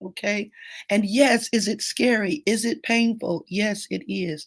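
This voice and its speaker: The voice moves at a fairly slow pace with ordinary pitch variation, recorded very cleanly with a silent background and a dry, close sound free of echo. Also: woman. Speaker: grief coach. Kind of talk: live stream Q&A.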